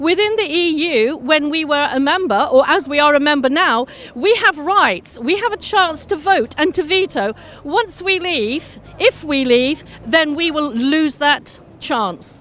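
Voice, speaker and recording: A woman speaks with an English accent in a high pitch, her intonation lively and her pace fairly slow. Noticeable background noise runs under her voice. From England. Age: 60s. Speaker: anti-Brexit demonstrator. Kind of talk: street interview. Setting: outdoors at a demonstration.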